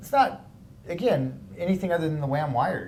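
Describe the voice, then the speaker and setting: The man's voice carries ordinary pitch variation. Room echo is audible. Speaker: art instructor. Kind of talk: tutorial.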